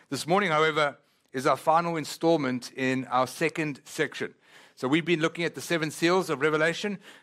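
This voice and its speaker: An animated man speaks at a fairly quick pace with a non-native accent and a fairly high pitch. The recording is very clean, with a silent background. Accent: foreign. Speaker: pastor. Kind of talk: sermon. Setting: church.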